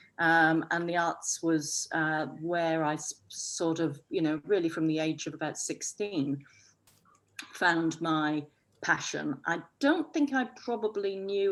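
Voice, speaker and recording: A woman with a northwest English accent and a fairly low pitch. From northwest England. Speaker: arts festival director. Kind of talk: panel discussion.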